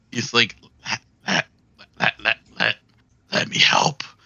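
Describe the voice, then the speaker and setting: A man's raspy, put-on character voice at medium pitch and a moderate pace. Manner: hesitant, repeating words.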